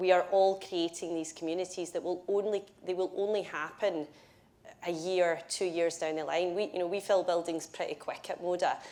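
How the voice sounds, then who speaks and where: A woman with a Scottish accent talks in a monotone, flat intonation. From Scotland. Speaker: build-to-rent industry executive. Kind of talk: panel discussion.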